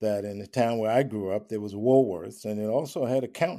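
A man with an American accent speaks at a medium pitch in a dark, mellow tone with ordinary pitch variation. The recording is very clean, with a silent background. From Long Island, New York. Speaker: professor and author. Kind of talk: interview conversation.

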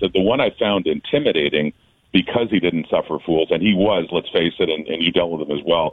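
A man talks with a very deep, low pitch. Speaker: football broadcaster. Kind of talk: radio interview, casual sports chat.

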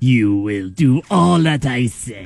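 A man puts on a character voice at a medium pitch. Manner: menacing, commanding.

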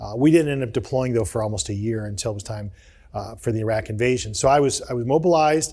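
A man talks very fast with a Midwestern accent, at medium pitch with ordinary variation. His voice is dark, mellow and somewhat breathy, on a very clean recording with a silent background. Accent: US Midwest (Ohio). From Akron, Ohio, US. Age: 50s. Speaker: broadcast journalist and retired army officer. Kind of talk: interview.

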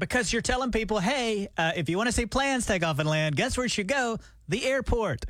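The speaker has a Southern US accent and lively intonation. The pace is fairly quick. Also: man, high pitch for a man. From Alabama. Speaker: radio morning show co-host. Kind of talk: casual chat. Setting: radio studio.

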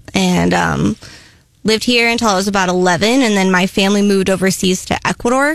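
An ordinary speaking voice from a woman with an American accent, medium in pitch, fairly quick in pace and very even in loudness. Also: ordinary pitch variation. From Columbia, Missouri. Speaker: coffee shop owner. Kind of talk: radio interview.

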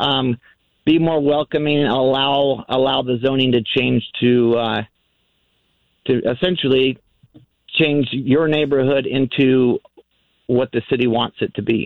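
At a fairly slow pace with long, frequent pauses, a man of medium pitch speaks with fairly even intonation and very even loudness. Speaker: radio caller. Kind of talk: call-in conversation. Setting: phone call.

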